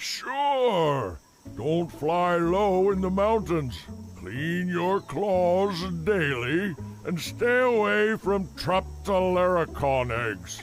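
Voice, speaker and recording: A man's cartoonish character voice, high in pitch, very slow, with very wide pitch swings over clear music in the background. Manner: wry, unhurried.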